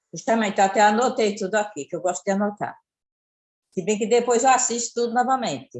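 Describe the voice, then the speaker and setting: Here a woman has an unremarkable speaking voice at a fairly high pitch. She moves at a fairly quick pace with ordinary pitch variation. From Pernambuco, Brazil. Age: 60s. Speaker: caller. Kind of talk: casual chat.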